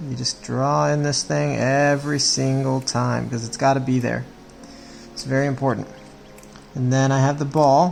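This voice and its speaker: Speech at a moderate pace over background music. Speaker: children's drawing instructor. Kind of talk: tutorial.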